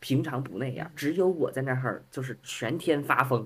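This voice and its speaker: Speaking at a fairly quick pace, a man with a fairly high pitch sounds somewhat breathy and shows ordinary pitch variation. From Beijing. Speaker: podcast guest. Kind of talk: casual chat.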